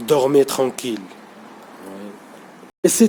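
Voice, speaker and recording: A man with a non-native accent at a very slow pace, over noticeable background noise. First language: not French (speaking French). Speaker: conspiracy vlogger. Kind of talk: unscripted monologue vlog. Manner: halting, many hesitations and repetitions; improvised, unprepared.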